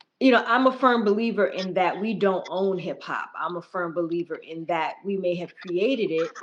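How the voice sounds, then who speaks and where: With an American accent, a woman speaks at a moderate pace with hardly any pauses. Her pitch variation is ordinary. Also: medium pitch for a woman. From US, the Bronx, New York. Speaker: podcast host. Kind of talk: interview conversation.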